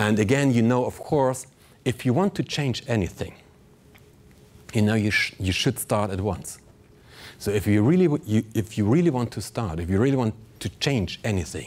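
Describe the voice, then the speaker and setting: A man speaks at a moderate pace with a non-native accent. His speech has long, frequent pauses. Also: medium pitch for a man, lively intonation. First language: not English. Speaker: pilot and motivational speaker. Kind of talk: keynote speech. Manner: animated.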